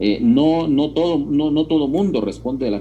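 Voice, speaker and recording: Over audible room echo, a man speaks with lively intonation. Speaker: university lecturer. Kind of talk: lecture. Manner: emphatic; halting, with filler words.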